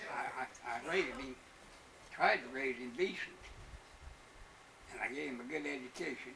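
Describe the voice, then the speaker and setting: Long pauses come often as a man speaks at a moderate pace. Background noise is noticeable. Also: medium pitch for a man, ordinary pitch variation. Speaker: former prison guard. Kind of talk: interview answer.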